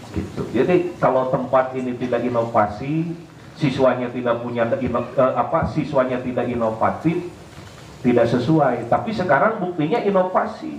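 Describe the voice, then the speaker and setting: Noticeable background noise and audible room echo accompany a man speaking with a Sundanese accent. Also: medium pitch for a man, ordinary pitch variation, moderate pace. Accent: Sundanese-accented Indonesian. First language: Sundanese (speaking Indonesian). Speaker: Islamic preacher. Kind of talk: sermon. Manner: animated, joking.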